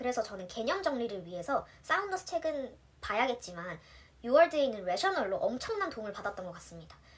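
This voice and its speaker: Over noticeable background noise, a woman talks at a fairly quick pace in a high pitch with very wide pitch swings. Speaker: nurse. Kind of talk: tutorial. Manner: casual, chatty.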